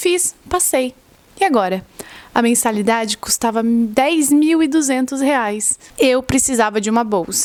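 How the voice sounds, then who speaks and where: Lively intonation marks this woman's high-pitched voice. Her loudness stays very even throughout. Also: fairly slow pace. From southern Brazil, Florianópolis. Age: 20s. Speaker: medical student and vlogger. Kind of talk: casual vlog monologue. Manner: conversational.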